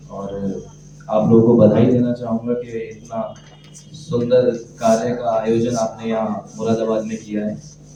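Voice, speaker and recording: Noticeable background noise sits behind a man speaking at a medium pitch. His intonation is monotone and flat. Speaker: poet. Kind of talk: casual talk to audience. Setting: live open mic event.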